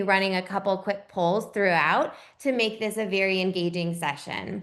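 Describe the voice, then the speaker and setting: A woman speaks with an energetic tone. Her pace is moderate. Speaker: marketing executive, webinar moderator. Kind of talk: webinar introduction. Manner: energetic, vibrant.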